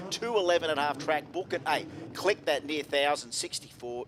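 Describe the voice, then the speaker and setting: Delivered at a fairly quick pace with an Australian accent, the speech shows ordinary pitch variation. Noticeable background noise is present. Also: man. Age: 50s. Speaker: drag racing commentator. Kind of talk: live commentary. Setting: broadcast area at racetrack. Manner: animated.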